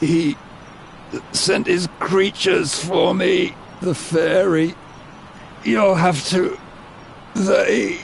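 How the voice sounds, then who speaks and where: In a put-on character voice, a man speaks at a high pitch and a very slow pace, with long, frequent pauses and clear background noise. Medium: video game. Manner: halting, breathy.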